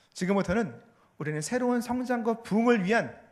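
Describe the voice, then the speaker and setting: The speech moves at a fairly quick pace with ordinary pitch variation, and audible room echo can be heard. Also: man. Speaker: pastor and theology professor. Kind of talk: sermon. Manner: fast.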